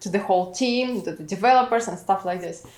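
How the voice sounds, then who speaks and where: A woman speaks with a Russian accent at a fairly quick pace. Her pitch varies in an ordinary way. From Russia, St Petersburg. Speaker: immigrant product manager. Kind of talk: interview. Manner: halting, many fillers.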